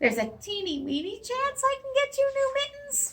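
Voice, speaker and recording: Speaking at a moderate pace, a woman performs a put-on character voice that is squeaky and extremely high in pitch. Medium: read story. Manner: fussy, hurried.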